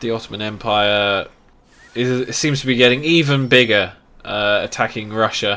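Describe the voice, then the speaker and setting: A man speaks with a British accent at a moderate pace. His voice sits at a medium pitch with ordinary pitch variation. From England. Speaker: game streamer. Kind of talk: live gameplay commentary. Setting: live stream.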